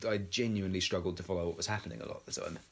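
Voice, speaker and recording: A man speaks in a fairly low pitch with an English accent. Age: 30s. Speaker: podcast co-host. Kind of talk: casual chat.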